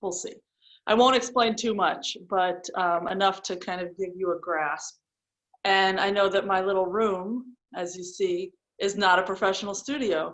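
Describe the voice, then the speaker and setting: A woman's medium-pitched voice at a moderate pace with fairly even intonation. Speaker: yoga teacher. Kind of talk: guided yoga class. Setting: small home room. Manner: instructional, breath-paced cues.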